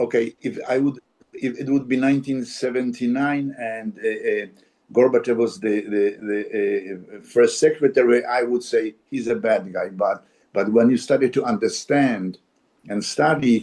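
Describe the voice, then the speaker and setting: A man's dark, mellow voice of medium pitch, in a Polish accent, at a fairly slow pace. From Poland. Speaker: actor. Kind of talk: interview conversation. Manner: halting, many repetitions.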